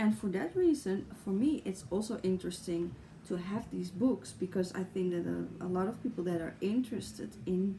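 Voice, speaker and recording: A woman's dark, mellow voice with vocal fry, lively intonation and a Dutch accent. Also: medium pitch for a woman, moderate pace. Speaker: tarot YouTuber. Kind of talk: casual vlog talk. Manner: halting, with fillers.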